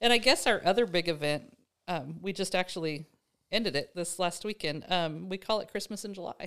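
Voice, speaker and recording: In an American accent, a woman with an unremarkable speaking voice talks at a fairly quick pace and fairly low pitch with ordinary pitch variation, on a very clean recording with a silent background. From Nebraska. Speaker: rancher and farm-stay host. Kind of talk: casual conversation. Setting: in person at a farm.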